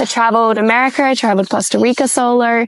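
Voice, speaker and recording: Through noticeable background noise, a woman with an Australian accent speaks at a high pitch and a moderate pace. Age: 20s. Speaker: podcast host. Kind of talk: casual monologue. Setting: sitting in a hammock.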